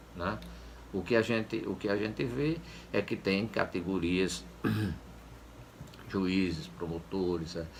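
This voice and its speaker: Very deep and low in pitch, a man's voice carries vocal fry and lively intonation. He goes at a very slow pace with long, frequent pauses. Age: 70s. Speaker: former public official. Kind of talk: interview. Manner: halting, with many repetitions and fillers.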